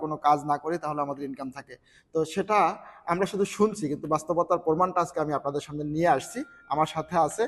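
Here a man has a normal speaking voice, a fairly high pitch and fairly even intonation. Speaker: network marketing member, interviewer. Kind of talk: interview introduction.

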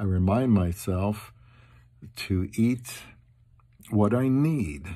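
A man speaks at a very slow pace with lively intonation and a dark, mellow tone. The background is quiet. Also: fairly low pitch for a man. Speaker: vlogger. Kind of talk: casual vlog chat. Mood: humorous, self-deprecating. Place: home room. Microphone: phone near.

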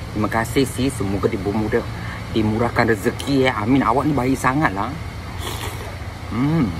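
Clear background noise behind a moderate pace. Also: ordinary pitch variation.

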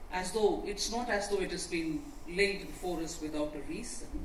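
Audible room echo and light background noise surround speech at a fairly slow pace. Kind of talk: formal speech. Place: hall.

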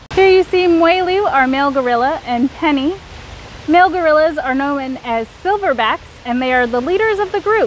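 Noticeable background noise sits behind a woman speaking at a fairly slow pace. Her high voice moves through very wide pitch swings. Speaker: zoo primate keeper. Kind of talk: educational explanation for kids. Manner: friendly, clear, informative.

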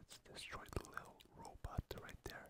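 Whispering comes through at a fairly slow pace. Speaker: ASMR gaming content creator. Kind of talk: ASMR gaming commentary. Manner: whispered, relaxing.

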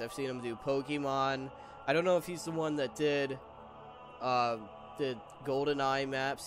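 Music in the background behind a man at a moderate pace, his pitch fairly high with ordinary variation. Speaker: gaming YouTuber. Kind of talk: gameplay commentary. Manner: stuttering, repeated words; casual.

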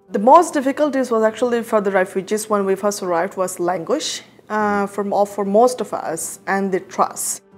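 A woman talks at a moderate pace with hardly any pauses and ordinary pitch variation while faint music plays in the background. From Rohingya community, Myanmar. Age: 20s. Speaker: refugee advocate. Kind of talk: interview answer. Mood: earnest, reflective. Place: office.

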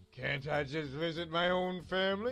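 A man puts on a character voice, fairly high in pitch, speaking at a fairly slow pace with faint music in the background.

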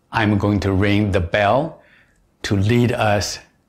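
A man talks in a calm tone with a fairly low pitch. His voice is somewhat breathy. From China. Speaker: meditation teacher. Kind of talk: guided meditation. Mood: calm, reflective. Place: home room.

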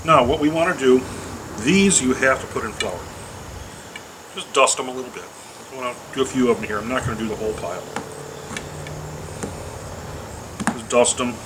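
Against loud background noise, the speaker talks at a fairly quick pace with ordinary pitch variation. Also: man. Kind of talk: tutorial. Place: garden.

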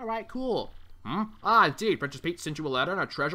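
This plain reading aloud carries lively intonation throughout.

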